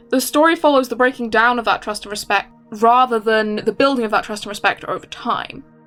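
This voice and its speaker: Over music in the background, a woman talks at a fairly quick pace with hardly any pauses. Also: fairly high pitch for a woman. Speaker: comic artist. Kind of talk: casual voice-over commentary.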